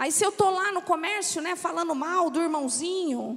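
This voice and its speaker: A woman's extremely high-pitched voice with a São Paulo accent. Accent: São Paulo accent, noticeable in the south. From São Paulo, Brazil. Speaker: pastor's wife, preacher. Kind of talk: sermon. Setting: church.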